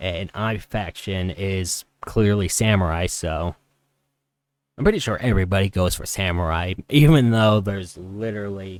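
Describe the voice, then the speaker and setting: The speaker is a man with a fairly low pitch. He keeps a moderate pace, and his pitch moves in an ordinary way. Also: very clean recording, silent background. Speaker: gaming YouTuber. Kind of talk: gameplay commentary. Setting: home recording at night. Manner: rambling, halting.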